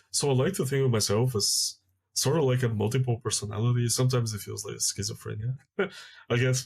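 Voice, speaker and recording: A man talks very fast in a somewhat breathy voice at medium pitch. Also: ordinary pitch variation. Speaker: YouTuber and designer. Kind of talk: casual monologue. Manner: halting, many fillers and repetitions.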